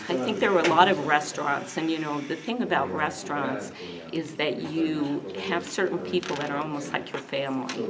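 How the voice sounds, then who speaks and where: Amid loud background noise, a woman talks at a fairly quick pace. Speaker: interviewee. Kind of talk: interview answer. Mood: warm, nostalgic.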